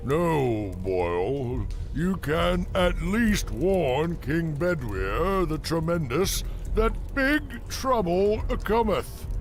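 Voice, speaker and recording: A cartoonish character voice at a very slow pace over clear background noise. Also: man. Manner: solemn, archaic.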